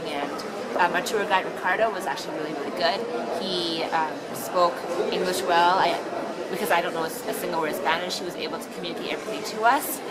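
With crowd noise in the background, a woman speaks at a fairly quick pace. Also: ordinary pitch variation. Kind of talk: testimonial interview answer. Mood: positive, relaxed recollection. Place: shop. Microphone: phone near.

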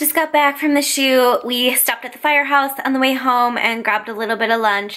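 A woman's high, bright, sharp voice at a moderate pace, with ordinary pitch variation against a quiet background. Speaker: fitness vlogger. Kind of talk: casual vlog chat. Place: home room. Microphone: phone near.

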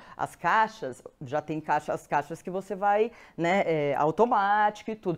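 A woman speaks with a Brazilian accent at a fairly slow pace. Her intonation is lively, and the background is quiet. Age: 50s. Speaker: presenter. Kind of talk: live stream talk with audience poll. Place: studio.

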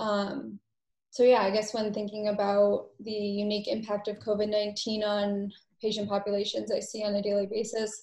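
A woman with an American accent speaks in a dark, mellow tone with flat, monotone intonation. Room echo is audible. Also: moderate pace. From Massachusetts. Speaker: medical assistant. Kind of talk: panel discussion. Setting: video call. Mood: calm, thoughtful. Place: home room. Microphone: webcam.

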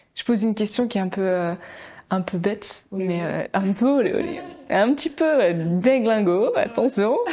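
Her tone dark and mellow, a woman speaks at a fairly high pitch and moderate pace with lively intonation. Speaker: podcast host, marketing content creator. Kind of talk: casual interview. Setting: studio with camera. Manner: animated, emotional. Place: home room. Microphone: lapel.

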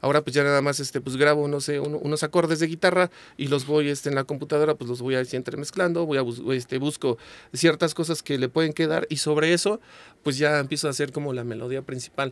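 A man's fairly high voice at a very fast pace, fairly even in intonation, dry with no echo. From Mexico. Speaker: ska singer and songwriter; guest. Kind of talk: casual chat. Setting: studio. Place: studio. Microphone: studio mic.

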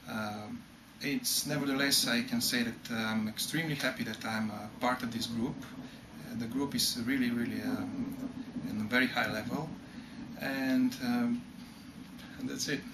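At a fairly slow pace, a man talks with long, frequent pauses against noticeable background noise. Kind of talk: interview answer. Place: office.

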